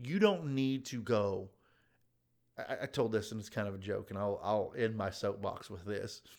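An ordinary speaking voice, delivered at a moderate speed with ordinary pitch movement, captured on a very clean recording against a silent background. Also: man, fairly low pitch for a man. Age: 30s. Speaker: podcast co-host, real estate investor. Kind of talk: casual chat.

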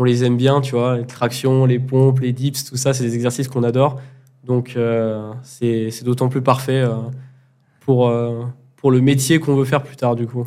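Speaking at a fairly slow pace, a man uses a medium pitch and a dark, mellow tone with monotone, flat intonation. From France, Grenoble. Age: 20s. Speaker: amateur street workout athlete. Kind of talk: casual chat. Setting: training facility in Bali.

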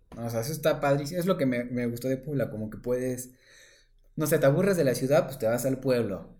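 A dark, mellow tone at a fairly quick pace. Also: man, medium pitch for a man, ordinary pitch variation. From Oaxaca, Mexico. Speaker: real estate agent. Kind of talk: casual chat.

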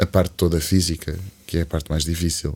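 Flat and monotone, the delivery holds to a middling speed. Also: man. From Algarve, Portugal. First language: English (speaking Portuguese). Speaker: singer-songwriter. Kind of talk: casual interview chat. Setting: studio.

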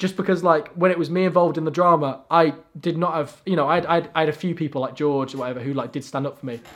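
At a very fast pace, a man speaks in a fairly high pitch with fairly even intonation. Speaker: podcast co-host. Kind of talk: casual chat.

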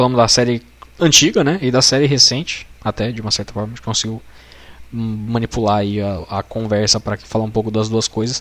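A man uses a plain, everyday voice with a medium pitch and ordinary pitch variation. He talks fairly quickly. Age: 20s. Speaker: podcaster and designer. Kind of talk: casual chat.

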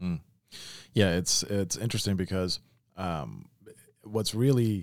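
A man's pitch varies in an ordinary way. The background is silent and the recording very clean. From Memphis, Tennessee. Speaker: podcast host. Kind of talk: podcast interview.

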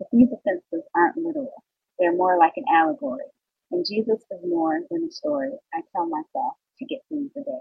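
The voice moves at a fairly quick pace, with very wide pitch swings and big swings in loudness. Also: woman, high pitch for a woman. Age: 30s. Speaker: podcast host. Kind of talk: casual monologue.

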